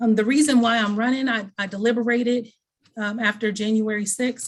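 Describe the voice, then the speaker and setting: A woman with a fairly high pitch speaks at a fairly quick pace in a flat, monotone way, her voice somewhat breathy. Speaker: political candidate. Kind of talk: candidate forum speech.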